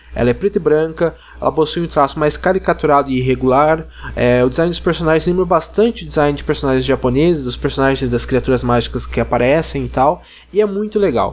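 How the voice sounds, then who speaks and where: Noticeable background noise accompanies a man who talks very fast. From Brazil, interior of São Paulo state (Ribeirão Preto). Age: 20s. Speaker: podcast listener. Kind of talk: recorded listener recommendation.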